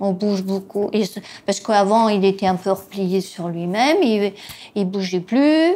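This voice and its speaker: A woman's dark, mellow voice at medium pitch, fairly slow, with ordinary pitch variation. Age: 70s. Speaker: caregiver spouse. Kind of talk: testimony. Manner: hesitant, many fillers.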